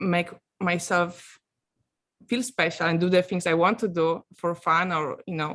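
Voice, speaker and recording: A woman with a Polish accent, fairly low in pitch, at a moderate pace with fairly even intonation, in a very clean recording against a silent background. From Poland, small village. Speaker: coaching client giving testimonial, actress. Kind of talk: testimonial interview. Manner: halting, many fillers.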